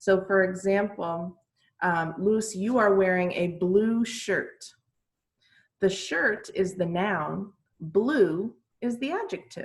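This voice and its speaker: Very slow, somewhat breathy speech from a woman at medium pitch with ordinary pitch variation. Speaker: English teacher. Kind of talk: online class lesson.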